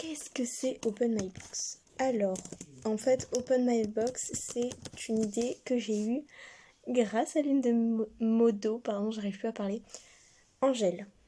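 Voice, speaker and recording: Soft-spoken and dark, mellow in tone, the voice moves at a very slow pace with fairly even intonation, big swings in loudness, and long, frequent pauses. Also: woman, fairly high pitch for a woman. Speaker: online shop owner and video creator. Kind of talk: casual product presentation vlog. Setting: at home, parents nearby.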